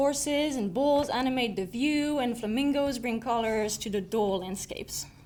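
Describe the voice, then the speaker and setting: Audible room echo surrounds a woman with a high pitch and a slight French accent. She talks with hardly any pauses. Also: ordinary pitch variation, moderate pace. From southern France. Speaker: student speaker. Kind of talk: prepared personal speech.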